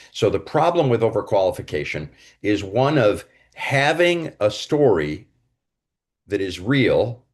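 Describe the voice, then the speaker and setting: Speaking at a fairly slow pace with long, frequent pauses, a man uses a medium pitch, vocal fry and very wide pitch swings. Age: 70s. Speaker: career coach. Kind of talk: direct-to-camera advice talk.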